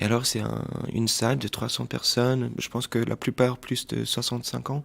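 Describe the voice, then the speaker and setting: Here a man speaks at a fairly slow pace in a medium pitch, his intonation monotone and flat. The recording is very clean, with a silent background. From Portuguese family, grew up mostly in Washington DC. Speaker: film director. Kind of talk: interview. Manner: hesitant, many fillers.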